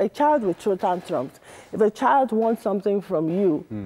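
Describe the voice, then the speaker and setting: With a Nigerian accent, a woman speaks in a dark, mellow tone with lively intonation. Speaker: marriage counsellor; guest. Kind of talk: interview. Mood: earnest, explanatory. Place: studio. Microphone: lapel.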